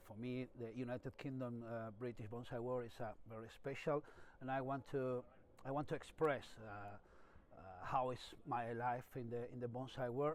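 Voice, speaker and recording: A man with a Spanish accent, medium pitch, moderate pace, and monotone, flat intonation. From Spain. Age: 50s. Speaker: bonsai master. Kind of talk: personal story interview. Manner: halting.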